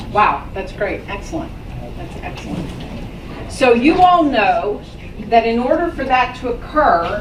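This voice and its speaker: Over noticeable background noise and audible room echo, the speaker goes at a fairly slow pace, with very wide pitch swings, big swings in loudness, and long, frequent pauses. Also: woman, high pitch for a woman. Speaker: business owner giving a talk to students. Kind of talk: talk to a school class.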